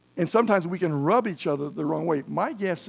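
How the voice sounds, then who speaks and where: A fairly high-pitched man talks at a very fast pace with lively intonation. Vocal fry runs through his voice. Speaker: preacher. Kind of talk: sermon. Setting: church.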